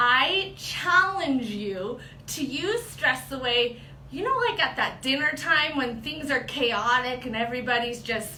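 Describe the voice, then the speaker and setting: A woman speaks in a raised, projected voice with high pitch and lively intonation, at a fairly slow pace. Audible room echo surrounds her. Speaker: product trainer. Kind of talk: tutorial. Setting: livestream video.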